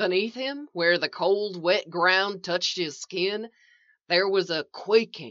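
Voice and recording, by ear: Here, the text is read aloud in a natural voice.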